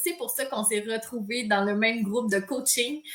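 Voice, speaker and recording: At a moderate pace, a woman talks in a high voice with a bright, sharp tone and ordinary pitch variation. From Quebec, Saint-Hyacinthe area. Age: 30s. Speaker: yoga teacher. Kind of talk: casual chat. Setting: livestream video.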